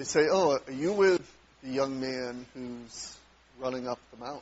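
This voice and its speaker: Ordinary pitch variation from a man at a fairly slow pace. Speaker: preacher. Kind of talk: sermon. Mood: warm, reflective. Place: church.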